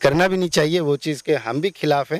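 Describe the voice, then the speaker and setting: The recording is very clean, with a silent background and a dry, close sound with no echo. It carries an ordinary speaking voice with ordinary pitch variation. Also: man. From Bihar, Madhubani region. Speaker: election candidate. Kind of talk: interview.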